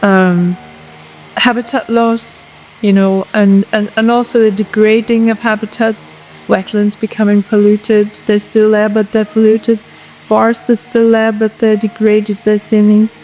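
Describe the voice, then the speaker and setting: Over music in the background, a woman speaks fairly slowly at a fairly high pitch, with monotone, flat intonation and very even loudness. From England. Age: 70s. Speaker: ornithologist. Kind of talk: interview. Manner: halting, many repetitions.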